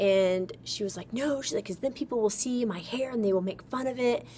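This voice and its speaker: Noticeable background noise sits behind a woman's voice. Her pitch is fairly high and her intonation lively. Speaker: weight-loss surgery vlogger. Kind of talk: casual vlog. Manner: loud; chatty, filler-heavy.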